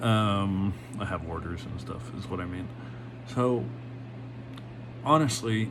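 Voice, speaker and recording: Amid noticeable background noise and audible room echo, a man with a fairly low pitch and ordinary pitch variation talks with big swings in loudness and long, frequent pauses. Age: 30s. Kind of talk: casual monologue vlog. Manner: halting, many fillers.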